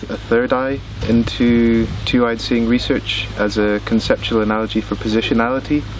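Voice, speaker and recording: Noticeable background noise under a moderate pace. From Scotland. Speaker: researcher, workshop participant. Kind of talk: prepared explanation.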